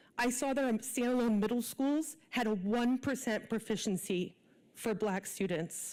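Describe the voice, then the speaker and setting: Lively intonation at a fairly slow pace, in a very clean recording with a silent background. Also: woman. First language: not English. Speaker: parent giving public comment. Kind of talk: public comment at board meeting. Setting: school board meeting. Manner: earnest, pleading.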